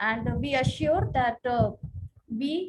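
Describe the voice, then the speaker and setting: Vocal fry marks this woman's voice. Her pitch is fairly high. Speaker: pharmacy college faculty, webinar moderator. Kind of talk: formal vote of thanks. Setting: online webinar. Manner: halting, many fillers.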